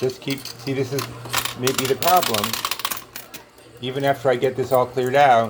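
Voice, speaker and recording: A man with an American accent speaks at a moderate pace and medium pitch, his intonation flat and monotone, with long, frequent pauses over noticeable background noise. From New York. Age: 60s. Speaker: coin pusher video host. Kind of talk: casual commentary while playing an arcade game. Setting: arcade at a marina. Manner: halting, many fillers.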